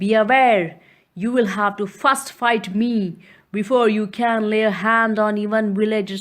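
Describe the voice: Plain reading aloud, delivered with fairly even intonation.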